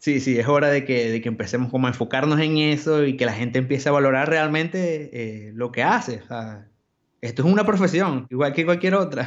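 A man with a normal speaking voice, fairly high in pitch, at a fairly quick pace with ordinary pitch variation. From Venezuela, Maracaibo. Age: 20s. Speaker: graphic designer. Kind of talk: casual interview.

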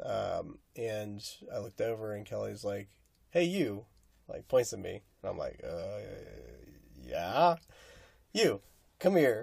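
Speaking very slowly with long, frequent pauses, a man with an American accent swings widely in loudness. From rural Nebraska. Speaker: podcast co-host. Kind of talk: casual chat.

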